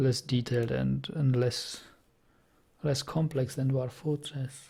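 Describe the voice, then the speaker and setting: Very slowly and at a medium pitch, a man speaks with fairly even intonation, very even loudness, a somewhat breathy quality and a dark, mellow tone. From Czech Republic, German minority. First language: Czech. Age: 30s. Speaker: video game streamer. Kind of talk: casual gaming commentary with chat. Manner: halting, frequent self-corrections.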